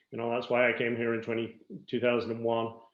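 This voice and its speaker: Here a man is speaking. He has a Dublin accent. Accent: Irish (Dublin). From Ireland, Dublin. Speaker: business coach and interviewer. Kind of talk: interview.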